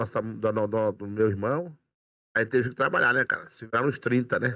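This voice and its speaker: The background is quiet. The pace is moderate. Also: man. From Brazil, Maranhão (Imperatriz); Maranhão, Brazil. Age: 50s. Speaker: police sergeant; podcast guest. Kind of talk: casual interview chat. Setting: studio. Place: studio. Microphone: studio mic.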